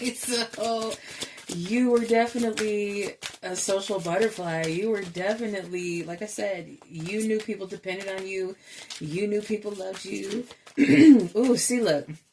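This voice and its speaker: Over noticeable background noise, a woman at a medium pitch speaks at a fairly slow pace. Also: ordinary pitch variation. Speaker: tarot reader. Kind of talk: tarot reading. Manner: casual, musing.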